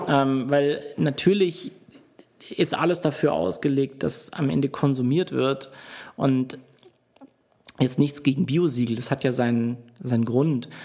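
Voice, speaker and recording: A man's fairly slow, dark, mellow voice at a fairly high pitch, with ordinary pitch variation and long, frequent pauses. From Stuttgart region, Germany. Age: 30s. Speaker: entrepreneur. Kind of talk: interview.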